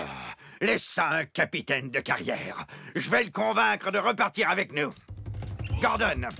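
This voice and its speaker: A man puts on a cartoonish character voice in a fairly high pitch. He keeps a moderate pace with long, frequent pauses. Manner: gruff, bossy.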